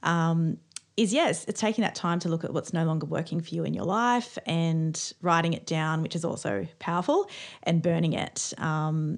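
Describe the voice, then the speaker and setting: A woman's fairly low-pitched, normal speaking voice with lively intonation at a moderate pace. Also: quiet background. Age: 40s. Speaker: podcast co-host, witch. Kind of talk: casual chat.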